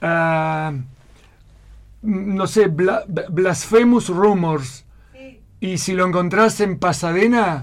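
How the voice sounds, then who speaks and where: With long, frequent pauses, a man speaks at a very slow pace in a high pitch with ordinary pitch variation. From Argentina. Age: 60s. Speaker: emigrant restaurant waiter. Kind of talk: radio interview.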